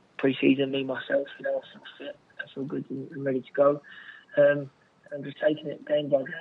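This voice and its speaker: Amid noticeable background noise, a man talks at a moderate pace with long, frequent pauses. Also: big swings in loudness. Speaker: footballer. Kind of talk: interview answers. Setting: phone call.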